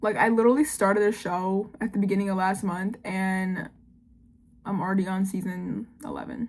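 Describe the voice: A woman speaks at a moderate pace and a medium pitch. Her pitch moves very little.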